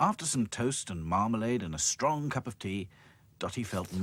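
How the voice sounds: The intonation moves in a lively way. It comes in a natural reading voice.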